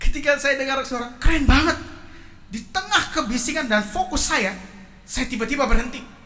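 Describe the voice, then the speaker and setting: Raised and projected, a man's voice with extremely high pitch moves at a moderate pace through audible room echo. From Indonesia. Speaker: preacher. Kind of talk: sermon.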